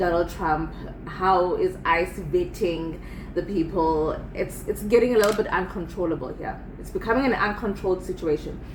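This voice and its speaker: A woman's medium-pitched voice at a moderate pace with ordinary pitch variation, audible room echo and noticeable background noise. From South Africa. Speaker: video commentator. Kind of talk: casual commentary. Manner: halting, repetitive.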